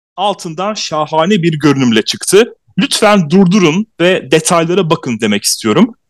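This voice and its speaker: A man speaks at a fairly slow pace. His high pitch carries lively intonation. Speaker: podcast host. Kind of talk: casual chat.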